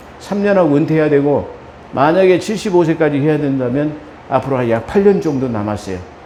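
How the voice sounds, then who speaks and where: Both room echo and background noise are noticeable here. A man speaks at a fairly high pitch. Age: 60s. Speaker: pastor. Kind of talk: sermon.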